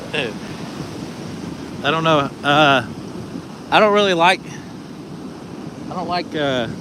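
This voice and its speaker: With an American accent and a fairly high pitch, a man talks at a fairly slow pace with ordinary pitch variation and long, frequent pauses over noticeable background noise. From Texas, Dallas area. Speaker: vlogger. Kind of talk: live stream casual talk. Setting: outdoors on a beach. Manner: casual, rambling.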